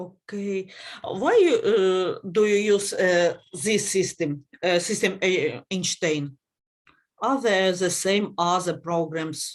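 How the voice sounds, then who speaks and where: A woman at a very slow pace, in a Ukrainian accent. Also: medium pitch for a woman, ordinary pitch variation. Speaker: conference session chair. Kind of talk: conference Q&A discussion. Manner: halting, many hesitations.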